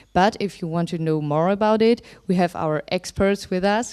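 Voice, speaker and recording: This woman speaks with a German accent at a moderate pace, her pitch fairly low and her tone dark and mellow. The recording is very clean, with a silent background. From Germany. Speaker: youth researcher. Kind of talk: conference presentation. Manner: hesitant, with many fillers.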